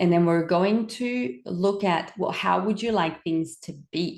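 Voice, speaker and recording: A woman speaks with a French Canadian accent and ordinary pitch variation. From French Canada. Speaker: wellbeing coach. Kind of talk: webinar presentation. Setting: recorded webinar on camera.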